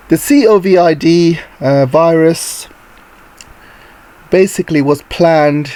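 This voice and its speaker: Amid noticeable background noise, a man speaks very slowly at a fairly high pitch with ordinary pitch variation, very even loudness, and long, frequent pauses. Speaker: geopolitics YouTuber. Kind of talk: casual commentary vlog.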